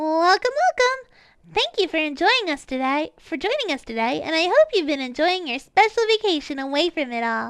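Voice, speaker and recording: Putting on a squeaky character voice, a woman speaks with extremely high pitch and very wide pitch swings at a moderate pace. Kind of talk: announcer. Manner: high energy.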